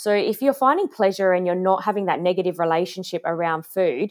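A woman with an Australian accent talks at a very fast pace on a very clean recording with a silent background. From Australia, Adelaide. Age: 30s. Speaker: health coach. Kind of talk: interview.

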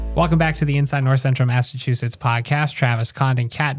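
A man's somewhat breathy voice at a very fast pace, with fairly even intonation. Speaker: podcast host. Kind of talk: casual interview.

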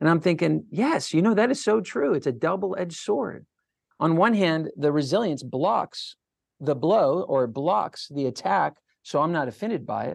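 Over a quiet background, a man with vocal fry speaks at a moderate pace in a fairly high pitch, his pitch swinging very widely. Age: 40s. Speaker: resilience educator and speaker. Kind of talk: interview. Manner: animated.

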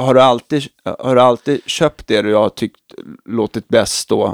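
Recorded dry and close with no echo, a man talks at medium pitch and a fairly slow pace, with ordinary pitch variation. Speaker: podcast host. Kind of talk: casual chat. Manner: halting. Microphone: new microphones.

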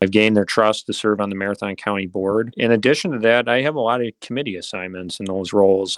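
A man with an Upper Midwest accent speaks at a fairly quick pace, fairly low in pitch with ordinary variation. The sound is dry and close with no echo, and the recording is very clean over a silent background. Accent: Upper Midwest American. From central Wisconsin (Mosinee). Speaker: politician. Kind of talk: interview.

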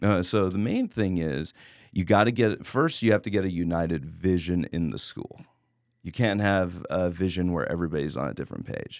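A man's very deep, low voice with an American accent, ordinary pitch variation and a moderate pace, in a very clean recording with a silent background. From Texas (Laredo). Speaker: martial arts instructor and studio owner. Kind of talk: casual interview chat.

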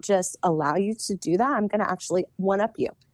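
A woman's dark, mellow voice at medium pitch with ordinary pitch variation comes through in a very clean recording, dry and close with no echo and a silent background. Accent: American. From US South. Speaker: podcast co-host, nurse. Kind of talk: casual chat.

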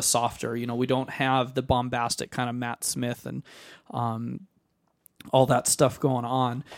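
A man with an unremarkable speaking voice talks at a moderate pace in a medium pitch. The recording is very clean, with a silent background. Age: young. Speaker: podcast co-host, music teacher. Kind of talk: casual chat.

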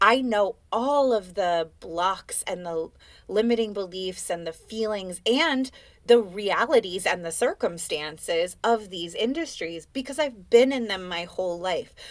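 A woman with an unremarkable speaking voice talks at a fairly slow pace with lively intonation, in a very clean recording against a silent background. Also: medium pitch for a woman. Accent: American. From US West Coast, Oakland. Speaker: life and business coach, dancer. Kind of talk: casual interview chat.

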